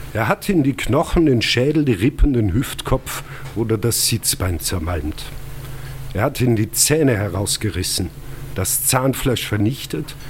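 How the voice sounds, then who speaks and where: A man speaks at a fairly slow pace with a medium pitch and lively intonation. Noticeable background noise can be heard. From Austria, Lungau (Salzburg). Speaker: historian and author. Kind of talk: reading aloud. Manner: formal.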